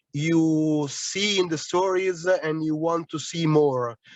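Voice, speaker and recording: A man speaks with an Italian accent at a fairly high pitch and fairly even intonation. The sound is dry and close, with no echo. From Italy. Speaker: audience member asking a question. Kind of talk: question at a panel. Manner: halting.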